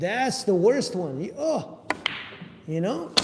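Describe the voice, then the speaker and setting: Amid noticeable background noise and audible room echo, a man speaks at a very slow pace with very wide pitch swings. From Russia. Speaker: pool player streaming practice. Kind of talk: live-streamed practice tutorial. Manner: casual, thinking aloud while playing.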